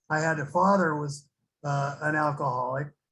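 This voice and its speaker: In an American accent, a man speaks with a bright, sharp tone at a fairly high pitch. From California (Santa Barbara). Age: 70s. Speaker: recovering alcoholic sharing experience. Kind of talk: recovery testimony. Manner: halting, many fillers.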